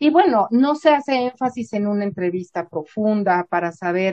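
A woman with an ordinary speaking voice, medium pitch, lively intonation and a fairly slow pace. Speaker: psychologist and university professor. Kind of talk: interview.

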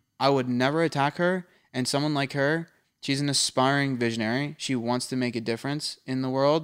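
With an American accent, a man speaks fairly quickly at a fairly high pitch in an animated tone, recorded very cleanly against a silent background. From suburban Philadelphia, US. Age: 20s. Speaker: podcast host. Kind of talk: casual banter. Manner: animated, jokey.

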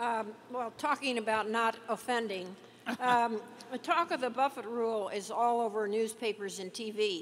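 A woman with an ordinary speaking voice talks at a moderate pace and fairly high pitch, with ordinary pitch variation. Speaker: financial journalist on panel. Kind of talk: Q&A questions.

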